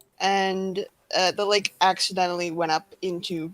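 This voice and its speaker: A woman's medium-pitched voice in monotone, flat intonation, with music in the background. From Minnesota, US. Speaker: game artist guest. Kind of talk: casual chat. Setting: livestream.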